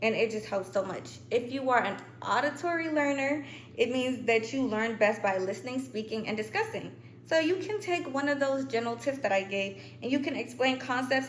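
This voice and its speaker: A woman with a high pitch talks at a fairly quick pace with lively intonation, with audible room echo and noticeable background noise. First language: not English. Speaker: student youtuber. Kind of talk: tutorial. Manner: casual, chatty.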